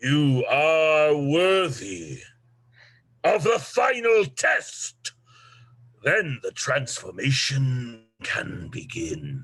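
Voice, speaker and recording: A man drags out a put-on character voice at a very slow pace. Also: fairly high pitch for a man. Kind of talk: dark fairy-tale villain. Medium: stage play. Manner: commanding, ominous.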